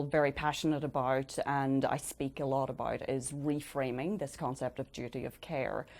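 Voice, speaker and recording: A woman with an Irish accent and a very deep, low pitch talks at a moderate pace with hardly any pauses, on a very clean recording with a silent background. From Ireland. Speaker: change coach. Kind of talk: interview. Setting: studio.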